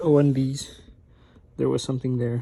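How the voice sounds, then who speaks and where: Quiet and somewhat breathy, a man with a medium pitch and a dark, mellow tone speaks at a fairly quick pace. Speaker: car DIY video maker. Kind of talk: tutorial. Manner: casual, with many fillers. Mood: relaxed, unbothered. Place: home room. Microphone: phone near.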